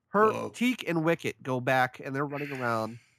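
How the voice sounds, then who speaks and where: On a very clean recording with a silent background, a man talks at a moderate pace with a fairly high pitch. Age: 30s. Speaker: podcast host. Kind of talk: casual chat.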